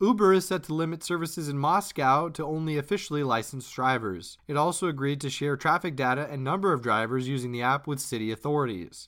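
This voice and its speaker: Over a silent background on a very clean recording, a man with a fairly high pitch talks at a very fast pace with ordinary pitch variation and hardly any pauses. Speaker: podcast host. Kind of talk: scripted narration.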